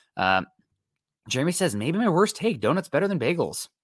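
A man with an American accent, animated in tone, with very wide pitch swings at a very fast pace, in a very clean recording with a silent background. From US Midwest. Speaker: sports podcast host. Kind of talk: solo live-stream sports talk reading chat.

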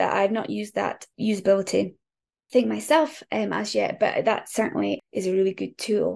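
A woman speaks with a northeast Scottish accent. Her pace is moderate. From northeast Scotland, near Aberdeen. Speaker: copywriter. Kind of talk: casual chat.

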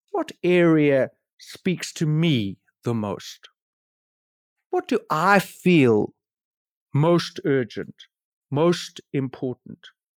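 A man with a South African accent and a fairly high pitch speaks at a very slow pace with lively intonation and long, frequent pauses, in a very clean, dry, close recording with a silent background and no echo. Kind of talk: interview, casual conversation about preaching.

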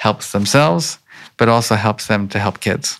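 A man with an American accent and an unremarkable speaking voice talks at a moderate pace with a fairly low pitch. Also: very clean recording, silent background. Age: 50s. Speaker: emotional intelligence researcher. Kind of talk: interview. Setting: conference.

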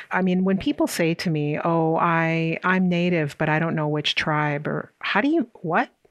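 Against a quiet background, a woman with an American accent and an unremarkable speaking voice talks at a fairly low pitch with fairly even intonation and very even loudness. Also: moderate pace. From US Midwest, South Dakota. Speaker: professor. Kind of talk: interview.

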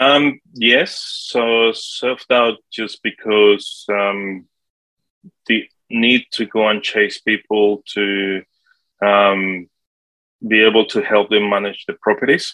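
A man in a Spanish accent, fairly low-pitched and very slow, in a dry, close sound with no echo. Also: fairly even intonation. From Colombia. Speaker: property manager. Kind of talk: interview.

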